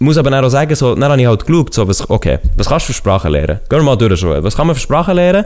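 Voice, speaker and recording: Over noticeable background noise, a man talks at a very fast pace and medium pitch, his pitch swinging very widely while his loudness stays very even. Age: 20s. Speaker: podcaster. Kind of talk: casual chat.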